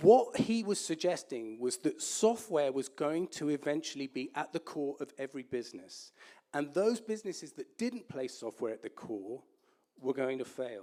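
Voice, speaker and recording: Speaking in an English accent, a man uses very wide pitch swings and a dark, mellow tone at a moderate pace. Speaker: entrepreneur, guest speaker. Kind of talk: lecture.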